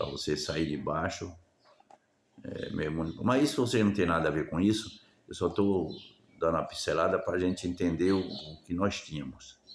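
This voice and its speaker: A man with a very deep, low voice speaks at a moderate pace. His pitch varies in an ordinary way. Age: 70s. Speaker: retired vlogger. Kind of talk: improvised monologue. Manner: halting, repetitive.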